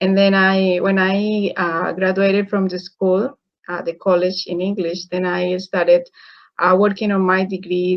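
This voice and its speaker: A woman with a Spanish accent at a moderate pace, her intonation monotone and flat. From Colombia. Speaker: engineer and online business mentor. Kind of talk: interview. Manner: halting.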